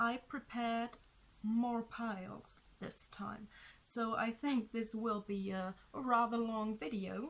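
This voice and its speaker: A somewhat breathy woman's voice, fairly high in pitch, with fairly even intonation and a very slow pace. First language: not English. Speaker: tarot reader. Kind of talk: tarot reading. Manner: hesitant, with fillers.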